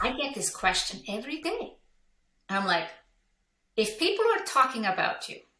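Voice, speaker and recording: In an Icelandic accent, a woman uses a raised, projected voice with a high pitch, very wide pitch swings, big swings in loudness and a bright, sharp tone, speaking at a moderate pace with long, frequent pauses amid audible room echo. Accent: non-native English, Icelandic. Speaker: business coach. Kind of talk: interview. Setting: podcast.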